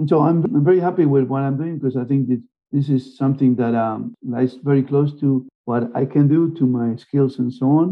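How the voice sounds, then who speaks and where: A man with a Spanish accent, fairly high in pitch, at a fairly quick pace with fairly even intonation. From Argentina. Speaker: marine biologist. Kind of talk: interview.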